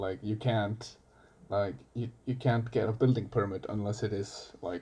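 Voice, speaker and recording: Against a quiet background, a man talks at a moderate pace in a medium pitch. His voice is somewhat breathy, with fairly even intonation. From Iceland. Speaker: coffee barista. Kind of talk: casual chat.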